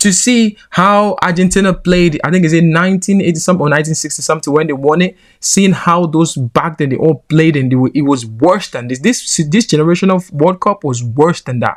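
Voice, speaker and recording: Talking at a fairly quick pace with hardly any pauses, a man speaks in a Nigerian accent. His pitch is high, with ordinary pitch variation. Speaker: football commentator. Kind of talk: opinion commentary. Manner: animated.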